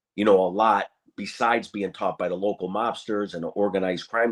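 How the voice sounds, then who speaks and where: Against a quiet background, a man with an American accent speaks in a normal speaking voice at a fairly quick pace and fairly low pitch. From Springfield, Massachusetts. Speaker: former mafia captain. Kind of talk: casual interview chat.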